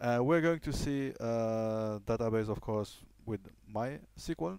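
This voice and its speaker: In a very clean recording with a silent background, a man talks at a fairly slow pace in a dark, mellow tone with ordinary pitch variation. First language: French. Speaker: programming tutor. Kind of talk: tutorial. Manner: halting, many fillers.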